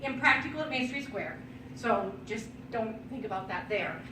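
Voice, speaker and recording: A woman's fairly high voice with ordinary pitch variation, audible room echo and noticeable background noise. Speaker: wedding decor business owner giving a presentation. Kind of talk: presentation to a vendor networking group. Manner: fast.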